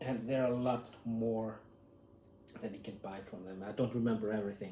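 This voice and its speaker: A man's medium-pitched voice at a moderate pace, with ordinary pitch variation, audible room echo and noticeable background noise. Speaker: YouTuber. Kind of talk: unboxing video, casual talk to camera. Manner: halting, many fillers.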